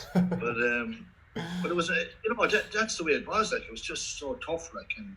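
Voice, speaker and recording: A man with a Kildare Irish accent at a moderate pace, loudness swinging widely, amid noticeable background noise. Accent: Kildare Irish accent, fairly strong. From Ireland, County Kildare. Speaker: former Gaelic football player. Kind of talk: interview. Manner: halting, many repetitions and fillers.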